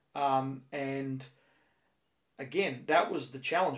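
This is a man with an Australian accent and a fairly high pitch. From Australia, Penrith (western Sydney). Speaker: baseball coach. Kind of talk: interview. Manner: halting, repeats words.

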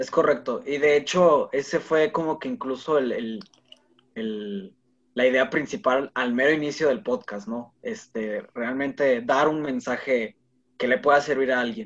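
Speaking at a fairly slow pace, a man with an unremarkable speaking voice uses lively intonation at a fairly high pitch. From Monterrey, Mexico. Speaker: podcaster. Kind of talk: casual chat.

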